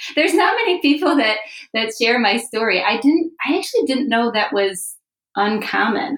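In a plain, everyday voice, the speaker talks at a moderate pace with lively intonation. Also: woman. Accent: American. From US Midwest, Chicago. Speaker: Bible teacher trainer. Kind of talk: casual chat.

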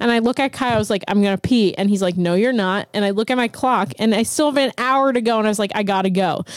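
A woman with a Pittsburgh accent speaks at a fairly high pitch with ordinary pitch variation, and the sound is dry and close with no echo. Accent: Pittsburgh American. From Pittsburgh, Pennsylvania. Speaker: DJ. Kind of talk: casual chat.

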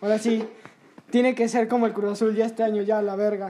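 Fairly quick in pace, a man speaks at a high pitch in a dark, mellow tone. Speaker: podcast host. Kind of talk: casual chat.

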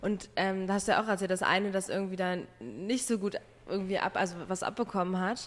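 With a plain, everyday voice, a woman talks at a fairly quick pace and a medium pitch, her intonation fairly even. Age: 20s. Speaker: podcast host. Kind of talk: casual chat.

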